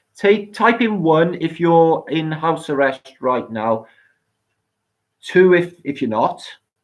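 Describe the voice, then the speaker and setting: Someone with a Welsh accent speaks at a very slow pace. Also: long, frequent pauses. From Wales. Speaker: live stream host. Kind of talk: live stream chat with viewers. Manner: slurred, sounds drunk.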